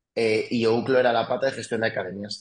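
This man's voice sits at a medium pitch, moving at a moderate pace with ordinary variation in pitch. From France, raised in Madrid region from age 7. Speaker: sports tech executive and football club president. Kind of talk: interview. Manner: halting, frequent repetitions.

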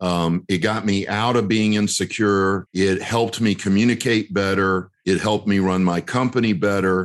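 Against a quiet background, a man with an American accent and a plain, everyday voice talks at a moderate pace and fairly low pitch, with very even loudness, fairly even intonation and hardly any pauses. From US South, North Carolina. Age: 50s. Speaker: real estate investor and educator. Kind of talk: interview.

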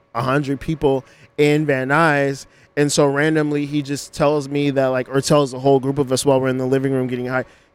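An ordinary speaking voice with an American accent at a fairly quick pace, in a very clean recording with a silent background. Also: man. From Los Angeles. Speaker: hoodoo practitioner and astrology podcaster. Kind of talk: casual interview chat.

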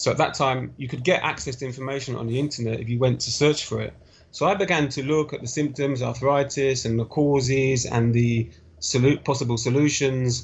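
Somewhat breathy, a man talks at a fairly quick pace in a fairly high pitch. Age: young. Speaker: interview guest sharing health story. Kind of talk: podcast interview, personal story.

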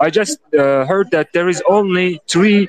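A man talks at a fairly slow pace with ordinary pitch variation. The sound is dry and close, with no echo. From Turkey. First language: Turkish. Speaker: host of crypto NFT audio space. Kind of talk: casual chat. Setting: audio call away from home.

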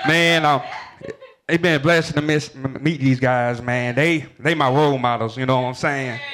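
There is noticeable background noise. A man with a fairly high pitch keeps a moderate pace and fairly even intonation. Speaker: event organizer.

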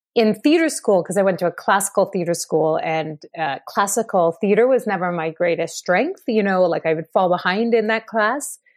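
A woman with a Canadian accent has a normal speaking voice and a medium pitch, speaking at a moderate pace with hardly any pauses. Her intonation is lively, and the background is quiet. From Ottawa, Canada. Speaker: theatre director and actor. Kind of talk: interview.

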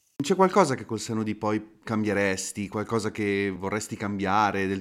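In a very clean recording with a silent background, a man speaks in a monotone, flat way. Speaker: podcast host. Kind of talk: interview, conversational.

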